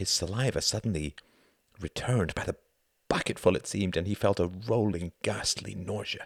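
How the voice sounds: The background is quiet, and the speaker uses a natural reading voice with ordinary pitch variation.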